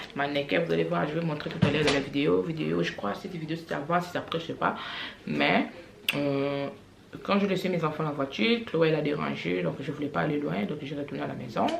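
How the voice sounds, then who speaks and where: Very wide pitch swings at a fairly quick pace, with audible room echo and noticeable background noise. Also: woman, very deep, low pitch for a woman. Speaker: family vlogger. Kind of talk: casual vlog monologue. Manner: hesitant, many fillers.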